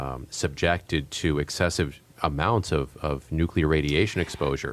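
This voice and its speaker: Vocal fry with ordinary pitch variation. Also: man, very deep, low pitch for a man, moderate pace. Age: young. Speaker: radio host. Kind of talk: radio interview. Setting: radio studio.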